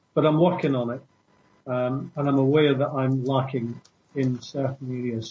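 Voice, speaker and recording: The voice is somewhat breathy, moving at a moderate pace. Its intonation stays fairly even. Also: man. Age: 60s. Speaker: former security worker and traveler. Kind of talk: interview. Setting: radio show.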